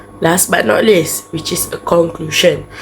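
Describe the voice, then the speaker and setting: A woman's fairly slow speech is accompanied by music in the background. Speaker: university student. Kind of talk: class presentation.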